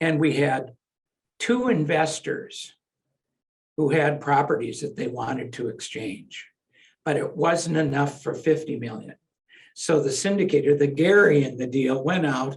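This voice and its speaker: Somewhat breathy, a man speaks fairly slowly at a fairly high pitch with ordinary pitch variation. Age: 70s. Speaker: real estate lawyer. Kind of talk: interview.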